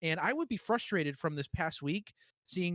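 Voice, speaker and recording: Against a quiet background, a man talks in an animated tone at a moderate pace, with a dry, close sound with no echo. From Boston. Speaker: sports podcast host. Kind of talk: casual chat. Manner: loud.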